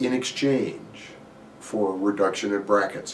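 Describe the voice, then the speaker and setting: A man's fairly low voice with an American accent, fairly even intonation and a fairly slow pace, with audible room echo. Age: 60s. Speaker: mortgage banker. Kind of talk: market commentary. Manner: hesitant, with fillers.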